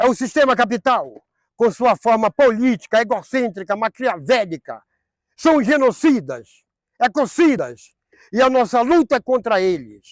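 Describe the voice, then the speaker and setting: Pitched extremely high, a man speaks at a fairly slow pace with lively intonation, very even loudness and long, frequent pauses, in a very clean recording with a silent background. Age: 60s. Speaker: former homeless person, mental health service user. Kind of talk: documentary interview testimony.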